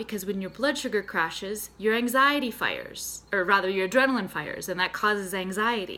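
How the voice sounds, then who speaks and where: A woman's fairly high, bright, sharp voice with an American accent, lively intonation and a moderate pace. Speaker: therapist and mental health nutritionist. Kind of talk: health tutorial to camera. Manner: conversational, casual.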